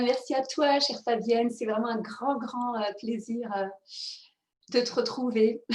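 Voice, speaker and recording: A woman speaks at a high pitch and a very slow pace, with a monotone, flat delivery. Her speech has long, frequent pauses. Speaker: mindfulness coach and author. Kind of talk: interview conversation.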